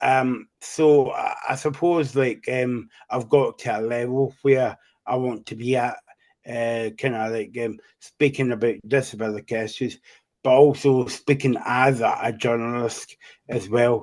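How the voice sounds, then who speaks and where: A man with a Scottish accent at medium pitch, fairly even in intonation and fairly slow in pace. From Scotland. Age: 40s. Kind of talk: interview. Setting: podcast. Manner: halting, many fillers.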